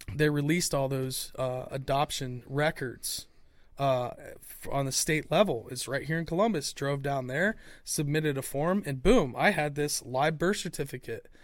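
On a very clean recording with a silent background, a man with an ordinary speaking voice talks at a fairly slow pace and fairly high pitch, with ordinary pitch variation. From Ohio, US Midwest. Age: 40s. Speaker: podcast host. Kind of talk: casual chat.

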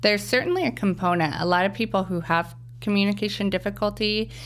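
A woman with a Midwestern US accent talks at a fairly quick pace. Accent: General American, Midwest. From US Midwest, Wichita, Kansas. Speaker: speech language pathologist. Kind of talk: interview.

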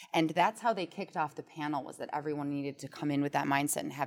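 Using an American accent, a woman talks at a very fast pace. Her pitch is very deep and low, with ordinary variation. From Milwaukee, Wisconsin. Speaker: operations and technology consultant for financial advisors. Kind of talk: podcast interview. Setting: in-person studio.

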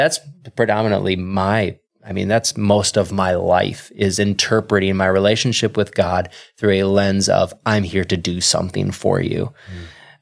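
At a moderate pace, a man with an American accent and an ordinary speaking voice talks with fairly even intonation and a fairly low pitch. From Wisconsin. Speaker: pastor. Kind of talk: casual interview.

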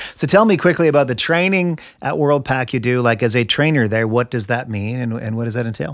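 This man has an ordinary speaking voice at a medium pitch, with lively intonation and a fairly quick pace with hardly any pauses. The recording is very clean, with a silent background. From Canada. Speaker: podcast host. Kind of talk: interview.

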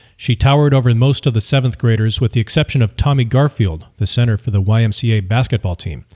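A man's medium-pitched, somewhat breathy voice with a dark, mellow, dramatic tone, racing at a very fast pace with hardly any pauses, in a very clean recording with a silent background. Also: ordinary pitch variation. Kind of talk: literary audiobook reading, third-person memoir narration. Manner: steady, measured storytelling pace with dramatic emphasis.

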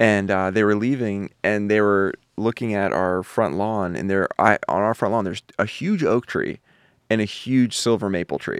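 A man's normal speaking voice in an American accent, fairly low in pitch with fairly even intonation at a moderate pace, on a very clean recording with a silent background and a dry, close sound with no echo. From Philadelphia, US. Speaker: podcast co-host. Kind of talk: casual chat. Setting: studio.

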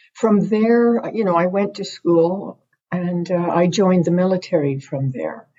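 A somewhat breathy woman's voice at a medium pitch, in a Canadian accent. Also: ordinary pitch variation. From Ontario. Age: 60s. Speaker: First Nation chief and retired soldier. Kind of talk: interview. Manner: halting.

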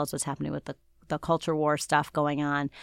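This very clean recording, with a silent background and a dry, close sound without echo, captures a woman with an American accent and a very deep, low pitch. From Cleveland area, Ohio (Shaker Heights). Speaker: journalist and author. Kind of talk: interview.

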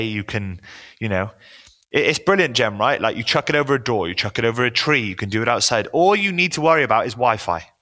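Speaking with a Welsh accent, a man talks at a fairly quick pace in a medium-pitched voice with a bright, sharp tone. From Wales, small town. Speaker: personal trainer. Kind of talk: casual interview chat.

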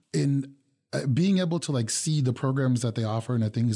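A man speaks at a medium pitch and a fairly quick pace, with ordinary pitch variation. His tone is dark and mellow over a quiet background. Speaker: city call center manager. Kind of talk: radio interview. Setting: studio.

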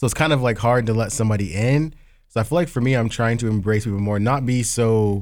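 Recorded very cleanly against a silent background, a man with an unremarkable speaking voice talks at medium pitch and a fairly quick pace with ordinary pitch variation. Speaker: podcast host. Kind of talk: casual chat.

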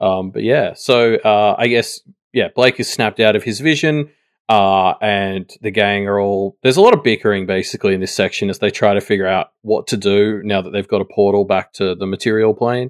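A man with an Australian accent speaks at a fairly quick pace, his pitch fairly low and his intonation fairly even. The sound is dry and close with no echo, a very clean recording with a silent background. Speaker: podcast guest. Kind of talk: casual chat. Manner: halting, repeats words.

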